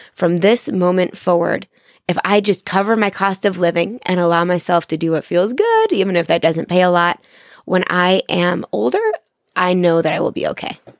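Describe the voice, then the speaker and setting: In a very clean recording with a silent background, a woman with a fairly low pitch and an unremarkable speaking voice talks at a moderate pace with fairly even intonation. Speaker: firefighter. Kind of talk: casual chat. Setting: studio.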